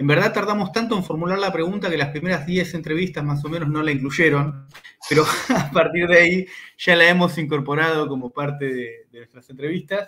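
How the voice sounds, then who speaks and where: At a fairly quick pace, a man with a normal speaking voice talks at a fairly high pitch with ordinary pitch variation. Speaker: university researcher and interview host. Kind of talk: interview.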